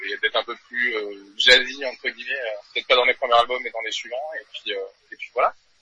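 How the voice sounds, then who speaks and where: Dry and close with no echo, a man's voice moves at a fairly quick pace with big swings in loudness. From New Caledonia. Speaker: metal band drummer. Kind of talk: interview.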